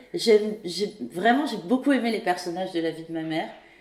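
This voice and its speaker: A woman's medium-pitched voice shows ordinary pitch variation amid noticeable background noise. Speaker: podcast host. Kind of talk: interview questions.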